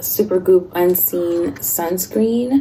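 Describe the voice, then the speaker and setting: Soft-spoken, a woman lets her pitch swing very widely while noticeable background noise runs underneath. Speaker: lifestyle vlogger. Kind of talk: casual chat. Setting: at home.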